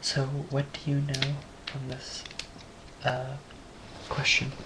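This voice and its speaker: A soft-spoken voice moves at a very slow pace over noticeable background noise. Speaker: amateur physics tutorial maker. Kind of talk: tutorial. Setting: home, late at night. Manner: quiet, speaking softly; hesitant, many fillers.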